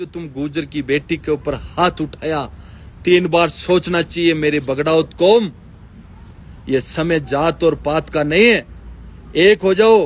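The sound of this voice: A man's fairly high-pitched voice at a fairly slow pace, with ordinary pitch variation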